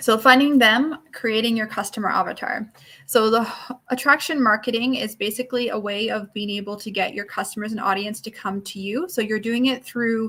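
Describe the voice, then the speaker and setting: A woman's fairly high, fairly quick speech with hardly any pauses, ordinary pitch variation and big swings in loudness. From Newfoundland, Canada. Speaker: network marketing coach. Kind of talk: online workshop lecture. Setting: live stream. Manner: fast.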